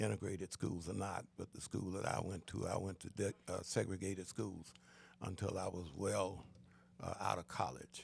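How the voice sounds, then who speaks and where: The voice has vocal fry and fairly even intonation. It moves at a moderate pace. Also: man. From US South, Florida (Daytona Beach). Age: 70s. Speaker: pastor and school board chair. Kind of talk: casual interview.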